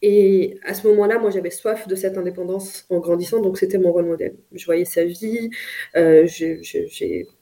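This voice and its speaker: A woman speaks at a medium pitch and a fairly slow pace. Her intonation is fairly even, but her loudness swings widely. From France. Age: 30s. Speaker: business executive. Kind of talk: interview. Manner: halting.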